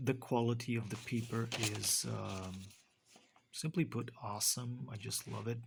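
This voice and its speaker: With a Romanian accent, a man speaks at a fairly slow pace. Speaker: book reviewer. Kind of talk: book review. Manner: halting, many fillers.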